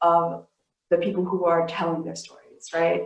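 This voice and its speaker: A woman speaks with an American accent and a fairly low pitch. Her intonation is monotone and flat. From US Midwest, Saint Paul, Minnesota. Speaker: community organizer. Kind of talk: panel talk. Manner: fast.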